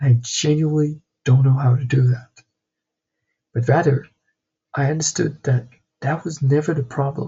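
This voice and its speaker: At a moderate pace, a man talks in a fairly high, somewhat breathy voice. His intonation is fairly even, and he takes long, frequent pauses. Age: 20s. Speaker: vlogger, entrepreneur. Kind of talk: personal vlog monologue.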